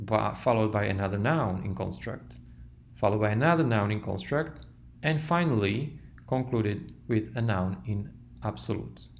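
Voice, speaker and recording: Audible room echo surrounds a man with a non-native accent and vocal fry. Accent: foreign accent in English. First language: not English. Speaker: language teacher. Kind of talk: tutorial.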